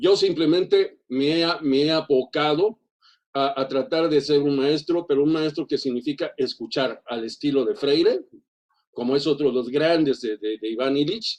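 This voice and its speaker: The speaker is a man using a moderate pace. Pitch moves in an ordinary way. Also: fairly high pitch for a man. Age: 60s. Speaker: teacher. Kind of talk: seminar comment. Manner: halting, many fillers and repetitions.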